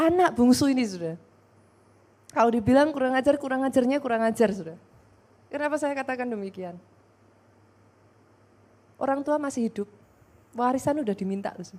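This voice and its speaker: A woman's high-pitched, very fast speech with lively intonation and long, frequent pauses. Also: big swings in loudness. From Java, Indonesia. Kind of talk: speech style of a preacher or lecturer.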